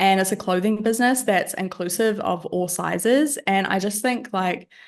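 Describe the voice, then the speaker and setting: A woman speaks with a New Zealand accent and ordinary pitch variation. The background is quiet. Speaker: business owner. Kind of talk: podcast interview.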